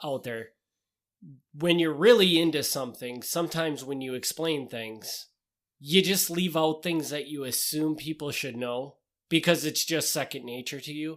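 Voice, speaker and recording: In a very clean recording with a silent background, a man with a Wisconsin accent speaks with big swings in loudness. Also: fairly high pitch for a man, ordinary pitch variation, moderate pace. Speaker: podcast co-host. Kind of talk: casual chat.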